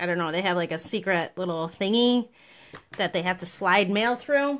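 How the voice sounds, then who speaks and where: Speaking at a moderate pace, a woman has an unremarkable speaking voice with a medium pitch and ordinary pitch variation. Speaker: papercraft demonstrator. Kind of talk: tutorial.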